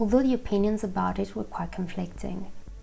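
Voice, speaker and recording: With music in the background, a woman speaks fairly quickly at a medium pitch, her pitch varying in an ordinary way. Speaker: video essayist. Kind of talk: video essay narration. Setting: home recording, imperfect audio. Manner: hesitant.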